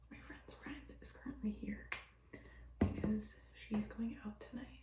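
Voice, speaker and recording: Whispering at a fairly slow pace, a woman shifts greatly in loudness, with music in the background and audible room echo. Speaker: vlogger. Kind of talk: casual vlog talk to camera. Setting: friend's bathroom.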